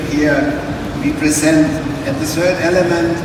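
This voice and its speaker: A man talks amid strong room echo and noticeable background noise. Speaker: presenter. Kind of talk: press presentation speech. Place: hall. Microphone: pa.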